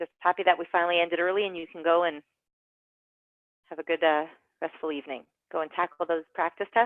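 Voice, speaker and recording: A woman with a fairly low-pitched voice talks at a very fast pace, broken by long, frequent pauses. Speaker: online course instructor. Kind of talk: online class lecture. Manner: animated.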